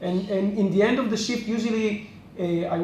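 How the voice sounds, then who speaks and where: With fairly even intonation, a man in an Israeli accent speaks amid audible room echo. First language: Hebrew. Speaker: restaurant co-owner. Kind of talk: interview. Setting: in a restaurant. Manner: halting, many fillers.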